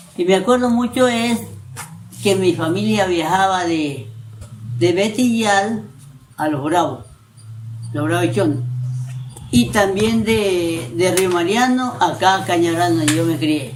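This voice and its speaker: Audible room echo surrounds a man with a high pitch who speaks at a very slow pace, leaving long, frequent pauses. His voice makes very wide pitch swings. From coastal Ecuador, Manabí (San Isidro). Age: 70s. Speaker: elderly local resident interviewed. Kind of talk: oral history interview. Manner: halting, with repetitions.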